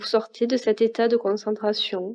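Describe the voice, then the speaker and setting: A woman speaks slowly-ish at a fairly high pitch, in a calm, dark, mellow tone. Her intonation stays monotone and flat. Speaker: meditation guide. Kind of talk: guided meditation. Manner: slow, calm.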